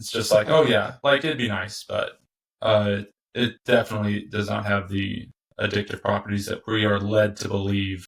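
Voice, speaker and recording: Somewhat breathy and fairly low-pitched, a man talks with an American accent and fairly even intonation. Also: moderate pace. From US Midwest, Indiana. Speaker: tobacco business founder. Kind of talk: casual interview conversation.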